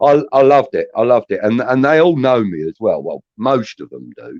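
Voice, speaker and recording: The voice moves at a moderate pace, with a dry, close sound and no echo. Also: man. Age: 60s. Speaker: football fan. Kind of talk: casual chat.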